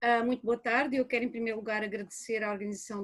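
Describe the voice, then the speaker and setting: A woman with a fairly high pitch sounds somewhat breathy. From Portugal, rural. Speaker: anthropology professor. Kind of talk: academic lecture.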